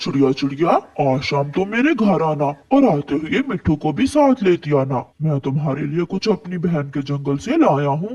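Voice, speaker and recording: A man puts on a cartoonish character voice, pitched fairly high. His intonation is lively and his pace moderate. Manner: warm, friendly.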